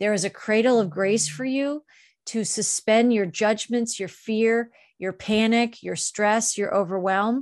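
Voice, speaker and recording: A woman with an unremarkable speaking voice talks at a fairly slow pace, fairly high in pitch with ordinary pitch variation, against a quiet background. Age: 50s. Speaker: spiritual author and channeler. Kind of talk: channeled spiritual monologue.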